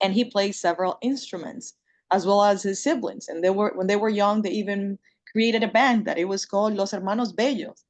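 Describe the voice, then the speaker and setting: With a Spanish accent, a woman at medium pitch talks at a fairly quick pace with ordinary pitch variation. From Dominican Republic. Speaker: panel speaker. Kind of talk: panel discussion.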